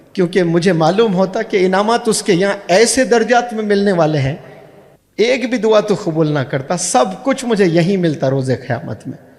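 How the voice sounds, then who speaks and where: Over noticeable background noise, a man talks at a high pitch with lively intonation. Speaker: motivational speaker and English teacher. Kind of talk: Islamic motivational speech to an audience.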